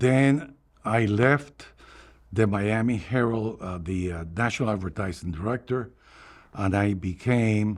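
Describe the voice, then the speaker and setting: Speaking with a Cuban accent, a man talks at a fairly slow pace, somewhat breathy, with lively intonation. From Cuba, Havana. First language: Spanish. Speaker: retired newspaper advertising executive. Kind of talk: oral history interview. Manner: halting, with fillers and repetitions.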